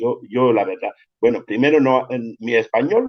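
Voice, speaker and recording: Speaking with a Cameroonian accent, a man keeps a moderate pace. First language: Yambasa (speaking Spanish). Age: 50s. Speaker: storyteller and writer. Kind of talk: interview. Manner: halting.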